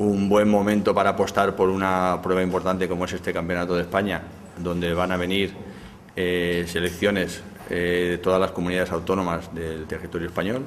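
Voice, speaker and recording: Over light background noise, a man with a very deep, low pitch talks at a moderate pace in a flat monotone. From Navajas, Alto Palancia, Valencia region. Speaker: triathlon federation representative. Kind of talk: press statement. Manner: hesitant with fillers. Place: hall. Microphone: handheld.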